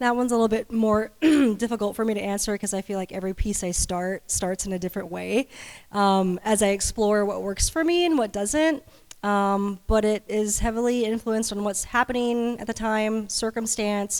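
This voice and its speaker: In a very clean recording with a silent background, a woman with an American accent uses a plain, everyday voice, fairly high in pitch, with ordinary pitch variation at a moderate pace. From San Antonio, Texas. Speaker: artist. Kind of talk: panel talk.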